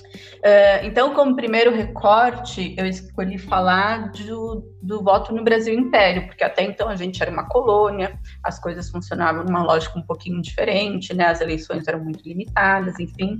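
Noticeable background noise sits behind a woman who speaks at a moderate pace with hardly any pauses. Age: 30s. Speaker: historian and geography graduate. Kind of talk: podcast interview.

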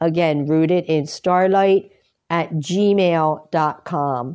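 A woman speaks in a dark, mellow tone. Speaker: astrology podcaster. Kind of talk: solo astrology talk. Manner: many filler ums.

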